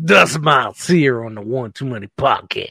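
A man puts on a gruff character voice, speaking at a moderate pace with a medium pitch and ordinary pitch variation.

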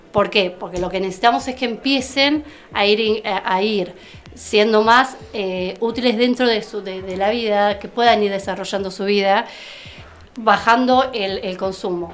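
A woman talks at a fairly slow pace, her fairly high voice showing ordinary pitch variation, with noticeable background noise behind her. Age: 40s. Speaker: therapeutic companion. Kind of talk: interview. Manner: halting.

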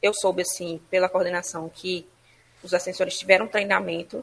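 Here is a woman with an unremarkable speaking voice and medium pitch. She talks at a moderate pace. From Ceará, Brazil (Fortaleza). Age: 20s. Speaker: lawyer. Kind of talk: interview testimony.

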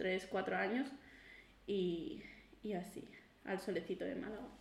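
Audible room echo hangs around a woman's voice. She talks at a fairly slow pace. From Catalonia, Girona. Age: 20s. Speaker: podcast co-host, school assistant. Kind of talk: casual chat.

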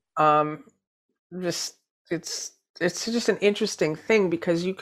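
A woman with an unremarkable speaking voice and a fairly low pitch talks at a fairly slow pace with lively intonation, in a very clean recording with a silent background. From New Hampshire, US. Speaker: spiritual teacher. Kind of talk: interview.

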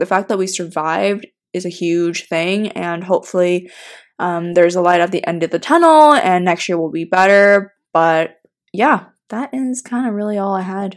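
A woman speaks at a moderate pace with a medium pitch and ordinary pitch variation. The recording is very clean with a silent background. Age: 20s. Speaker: podcast co-host. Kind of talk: casual chat. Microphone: mics cutting out.

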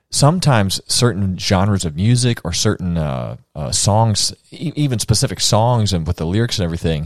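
This man talks at a fairly low pitch with lively intonation, in an ordinary speaking voice. The recording is very clean, with a silent background. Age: 30s. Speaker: podcast host. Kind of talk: casual chat.

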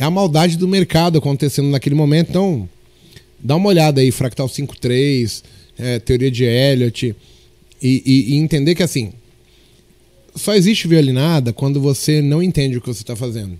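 Pausing long and often, a man with a fairly high pitch and a dark, mellow tone talks at a moderate pace with lively intonation. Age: 30s. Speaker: podcast host and trader. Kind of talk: casual chat.

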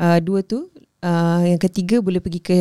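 A woman's dark, mellow tone in a monotone, flat intonation. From Ipoh, Perak, Malaysia. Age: 30s. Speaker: novelist. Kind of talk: casual interview.

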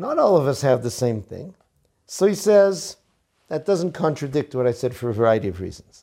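Very wide pitch swings mark a dark, mellow tone in an American accent at a moderate pace. The recording is very clean, with a silent background. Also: man, fairly high pitch for a man. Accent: American English with Yeshivish Hebrew terms. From US, Boston. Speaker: rabbi teaching Torah. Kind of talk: Torah lecture.

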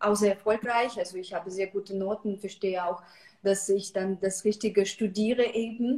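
This woman has a Russian accent and a medium pitch. She talks at a moderate pace with a monotone, flat intonation. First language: Russian (speaking German). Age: 30s. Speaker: psychological counselor, cancer survivor. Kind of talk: casual online interview.

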